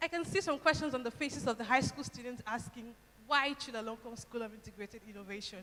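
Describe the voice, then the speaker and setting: A woman's raised, projected voice, high in pitch, quick-paced, with lively intonation. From Nigeria. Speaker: university student speaker. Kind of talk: speech to audience.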